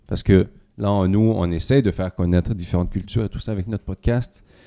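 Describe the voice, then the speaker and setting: Dark and mellow in tone, a man speaks at a moderate pace with fairly even intonation. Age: young. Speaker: podcast host. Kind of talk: interview.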